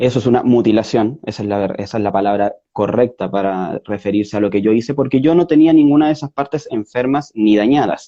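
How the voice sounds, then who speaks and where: A man with a Chilean accent speaks in a dark, mellow tone. His pace is fairly quick, with hardly any pauses. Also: medium pitch for a man, ordinary pitch variation. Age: 30s. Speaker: interview guest. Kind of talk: interview. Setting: online video call. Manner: halting, many fillers and self-corrections.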